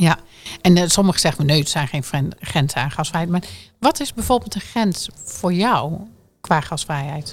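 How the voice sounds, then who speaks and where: With music in the background, the speaker uses lively intonation at a moderate pace, broken by long, frequent pauses. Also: woman, fairly low pitch for a woman. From Drenthe, northern Netherlands. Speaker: podcast host. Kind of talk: casual interview; scripted outro.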